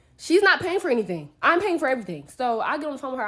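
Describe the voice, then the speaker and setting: A woman's animated voice at a very fast pace, with very wide pitch swings and noticeable background noise. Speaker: travel influencer. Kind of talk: storytime rant.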